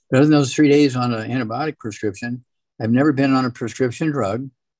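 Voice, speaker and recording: A man talks at a very fast pace with fairly even intonation and big swings in loudness. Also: medium pitch for a man. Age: 80s+. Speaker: doctor and supplement advocate. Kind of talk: health talk show discussion.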